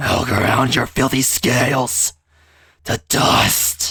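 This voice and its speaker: A man's put-on character voice, raspy, guttural and growling, at a very slow pace. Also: medium pitch for a man. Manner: menacing.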